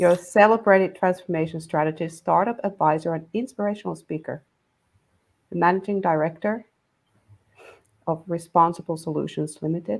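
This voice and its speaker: A woman speaks fairly quickly with a non-native accent, in a fairly low pitch with ordinary pitch variation, pausing long and often. The recording is very clean, with a silent background. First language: not English. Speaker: panel moderator. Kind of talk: panel introductions.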